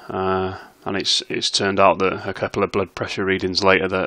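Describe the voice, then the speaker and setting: A man with a British accent, a very deep, low pitch, monotone flat intonation, a bright, sharp tone and a fairly quick pace. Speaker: slot streamer. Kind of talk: casual commentary to camera. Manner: hesitant, with filler sounds.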